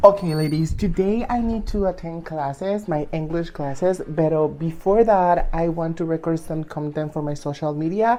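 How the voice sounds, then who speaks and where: Speaking with a Venezuelan accent, a woman talks at a moderate pace with hardly any pauses, her dark, mellow tone set at a fairly low pitch with ordinary pitch variation. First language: Spanish. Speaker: lifestyle vlogger. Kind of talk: casual vlog.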